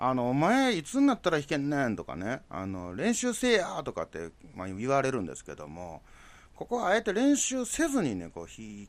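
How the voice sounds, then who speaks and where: Spoken at a moderate pace with a Kansai accent, the voice swings widely in loudness on a very clean recording with a silent background. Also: man. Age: 40s. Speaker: podcast host. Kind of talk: casual solo monologue.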